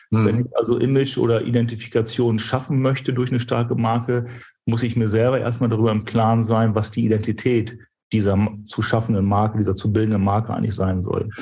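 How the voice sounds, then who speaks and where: This dark, mellow, somewhat breathy voice moves at a very fast pace with monotone, flat intonation and very even loudness. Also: man, medium pitch for a man. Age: 40s. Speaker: brand strategy consultant and business owner. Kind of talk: interview.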